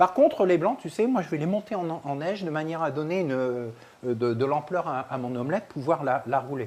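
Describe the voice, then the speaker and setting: Lively intonation from a fairly high-pitched man at a fairly quick pace. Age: 60s. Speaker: chef and nutrition expert. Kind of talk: live cooking workshop. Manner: animated.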